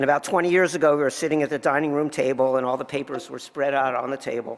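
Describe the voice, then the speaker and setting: This man talks at a very fast pace, his pitch sitting in the medium range. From New Jersey. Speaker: tax lawyer. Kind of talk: award acceptance speech.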